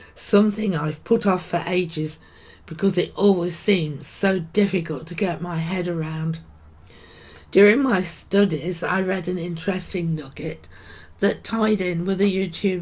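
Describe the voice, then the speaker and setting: A woman's somewhat breathy, fairly low-pitched voice with a British accent, fairly slow and fairly even in intonation. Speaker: podcaster, Bible teacher. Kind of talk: devotional talk.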